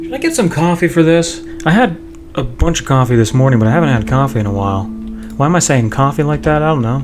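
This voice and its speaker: A man talks at a very fast pace. Music plays in the background, and audible room echo is present. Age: 20s. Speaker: video game streamer. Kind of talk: casual live gameplay commentary. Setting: live stream with game audio. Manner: rambling, halting with false starts.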